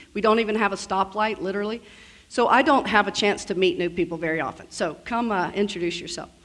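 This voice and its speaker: A woman with an American accent at a medium pitch, with ordinary pitch variation and a fairly quick pace. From US South. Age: 50s. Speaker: estate planning lawyer, keynote speaker. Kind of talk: keynote speech. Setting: conference stage with audience. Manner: fast.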